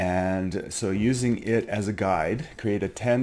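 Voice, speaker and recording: A man with an unremarkable speaking voice talks at a fairly low pitch, its variation ordinary. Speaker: teacher. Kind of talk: tutorial. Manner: casual, filler-heavy.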